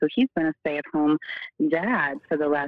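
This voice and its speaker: Her voice is very deep and low, and this woman speaks with an American accent. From Oregon. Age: 30s. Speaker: solar customer and mother. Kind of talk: interview.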